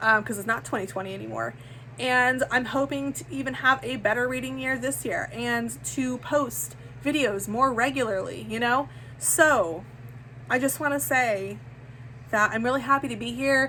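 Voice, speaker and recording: There is noticeable background noise behind the speaker. A woman talks at a moderate pace. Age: 30s. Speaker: book vlogger. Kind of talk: casual chat. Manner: animated; halting.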